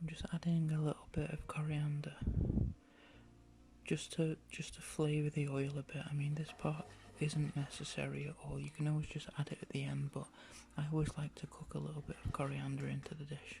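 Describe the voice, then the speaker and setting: Soft-spoken and relaxed, a man with an English accent talks at a fairly quick pace. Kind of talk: ASMR cooking tutorial. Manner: casual, relaxed.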